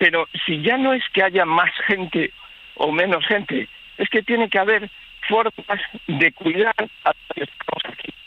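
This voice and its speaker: Noticeable background noise accompanies fairly slow speech. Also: man. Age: 60s. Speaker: livestock farmer, local resident. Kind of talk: radio phone interview. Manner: halting, many false starts.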